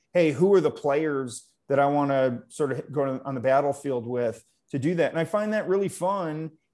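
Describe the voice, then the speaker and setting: A man with an American accent speaks in a plain, everyday voice, fairly high in pitch and at a moderate pace. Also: ordinary pitch variation. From upstate New York (Utica). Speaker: tech company CEO. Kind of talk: interview.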